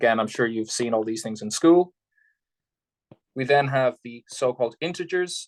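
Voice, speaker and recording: A man's voice at medium pitch, with ordinary pitch variation. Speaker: math lecturer. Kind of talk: lecture. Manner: fast.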